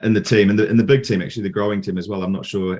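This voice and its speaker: With a New Zealand accent, a man speaks in a fairly low pitch and a monotone, flat intonation against a quiet background. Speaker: podcast host and software company CEO. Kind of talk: interview.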